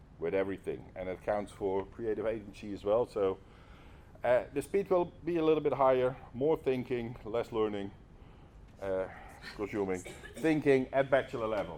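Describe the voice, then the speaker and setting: This man speaks with a Dutch accent at medium pitch and a moderate pace. His tone is dark and mellow, broken by long, frequent pauses. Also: lively intonation. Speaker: lecturer. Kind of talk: lecture. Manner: halting.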